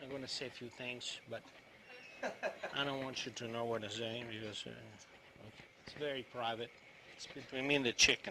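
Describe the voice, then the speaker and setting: A man with an Italian accent speaks at a fairly quick pace and medium pitch in a monotone, flat delivery, his loudness swinging widely amid long, frequent pauses and noticeable background noise. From Italy, Rome region. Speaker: chef teaching cooking class. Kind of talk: cooking demonstration. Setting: live video stream cooking class. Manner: halting, repetitive.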